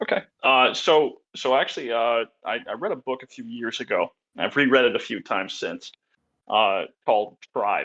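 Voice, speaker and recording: A man with an American accent at a moderate pace, in a dry, close sound with no echo. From rural Pennsylvania. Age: 30s. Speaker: history YouTuber. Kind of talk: casual interview. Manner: halting, repeats words.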